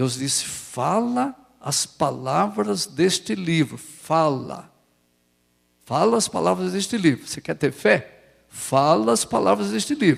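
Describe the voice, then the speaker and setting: A man with a fairly high pitch and vocal fry talks very slowly, his pitch swinging very widely. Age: 70s. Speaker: pastor. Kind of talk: sermon. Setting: church.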